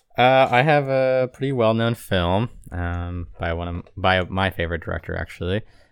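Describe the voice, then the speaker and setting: With lively intonation and a fairly low pitch, a man in an unremarkable speaking voice talks at a moderate pace. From Toronto, Canada. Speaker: film industry guest. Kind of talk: casual chat.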